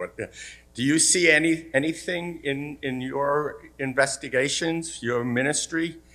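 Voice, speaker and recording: A man's fairly high voice carries a bright, sharp tone. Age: 70s. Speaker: audience member asking a question. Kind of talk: audience question. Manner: halting, many fillers.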